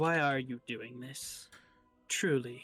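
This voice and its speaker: Over faint background music, a man does a put-on character voice at medium pitch with fairly even intonation. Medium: actual play. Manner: defiant.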